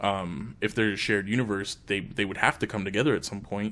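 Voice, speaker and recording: A man with a fairly low voice talks at a fairly quick pace. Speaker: gaming podcast co-host. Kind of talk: casual chat. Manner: fast; animated.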